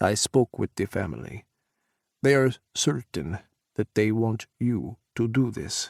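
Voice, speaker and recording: Booming man in a put-on character voice at medium pitch, fairly slow with long, frequent pauses, lively intonation, and a dry, close sound with no echo. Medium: read story. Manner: hearty, commanding.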